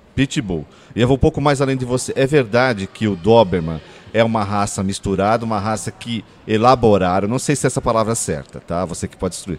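Using a plain, everyday voice, a man talks fairly quickly in a fairly low pitch, with ordinary pitch variation and big swings in loudness. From São Paulo, Brazil (Ipiranga). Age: 40s. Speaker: podcast co-host. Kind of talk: casual chat.

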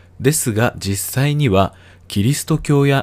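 A man with a plain, everyday voice talks at a fairly slow pace with lively intonation, recorded very cleanly against a silent background. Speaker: educational YouTuber. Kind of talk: scripted narration. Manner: polite formal.

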